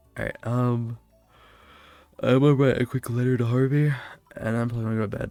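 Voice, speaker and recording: Over music in the background, a man speaks at a medium pitch and a very fast pace in a monotone, flat delivery broken by long, frequent pauses. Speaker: live streamer. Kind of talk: casual chat.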